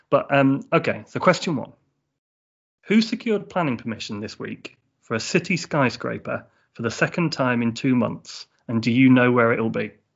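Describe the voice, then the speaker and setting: A man at medium pitch speaks at a moderate pace with lively intonation and vocal fry. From England, north of London. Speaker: podcast host. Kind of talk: casual chat; quiz.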